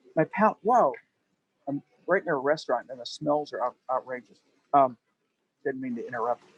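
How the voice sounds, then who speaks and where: A man talks at a moderate pace with long, frequent pauses and big swings in loudness, and the sound is dry with no echo. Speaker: painting instructor. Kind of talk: tutorial. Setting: outdoors. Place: street. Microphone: phone mic, too quiet; phone near.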